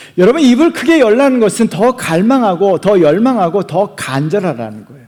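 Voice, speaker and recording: With a high pitch and very wide pitch swings, a man speaks in an animated tone. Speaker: pastor. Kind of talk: sermon.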